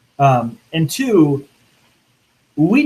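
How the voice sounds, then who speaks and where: A man speaks in a somewhat breathy voice. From Louisiana. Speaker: minister. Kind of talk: panel discussion.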